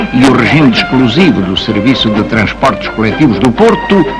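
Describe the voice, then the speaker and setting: A man at a fairly quick pace, his pitch swinging very widely, with noticeable background noise. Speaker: voice-over narrator. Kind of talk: documentary narration, historical voice-over.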